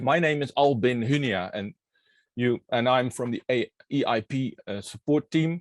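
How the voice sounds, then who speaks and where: A man with a Dutch accent speaks at a fairly slow pace, his pitch medium with ordinary variation. The sound is dry and close, with no echo. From Netherlands. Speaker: workshop moderator. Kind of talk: online workshop opening. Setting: online workshop.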